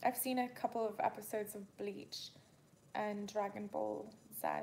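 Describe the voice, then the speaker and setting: A woman speaks in a relaxed tone. Her pace is very slow. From Canada and England. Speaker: livestreamer. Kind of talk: casual chat. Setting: livestream during power outage, candlelit. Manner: relaxed, chatty.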